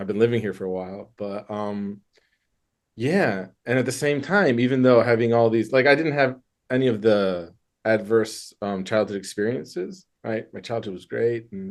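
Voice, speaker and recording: Speaking with a Michigan accent, a man holds a moderate pace and medium pitch, with ordinary pitch variation and big swings in loudness. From US Midwest, Michigan. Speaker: therapist. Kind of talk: interview. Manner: casual, hesitant with fillers.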